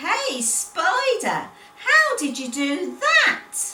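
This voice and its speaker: Putting on a squeaky character voice, a woman speaks at a very slow pace in an extremely high pitch with very wide pitch swings, with audible echo. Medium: read story.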